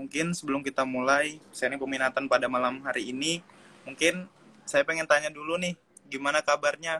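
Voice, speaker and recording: A man with a fairly high pitch and a bright, sharp tone talks at a fairly quick pace with fairly even intonation, recorded dry and close with no echo. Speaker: student event moderator. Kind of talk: moderating an online live session. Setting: online live video call from home.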